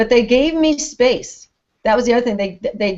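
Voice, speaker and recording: A woman speaks in an ordinary speaking voice. Her pitch is fairly high, with ordinary pitch variation. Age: 60s. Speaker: retired teacher and author. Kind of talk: casual interview chat.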